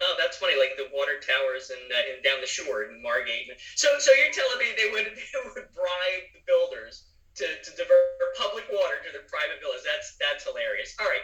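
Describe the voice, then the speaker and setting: Over music in the background, a man speaks at a fairly quick pace with big swings in loudness. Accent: Philadelphia. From Philadelphia. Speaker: podcast host. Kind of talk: casual chat.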